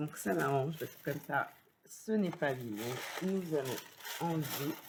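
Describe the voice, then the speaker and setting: With a very deep, low pitch, a woman speaks at a fairly slow pace with ordinary pitch variation. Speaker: papercraft youtuber. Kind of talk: product unboxing review. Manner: hesitant, many fillers.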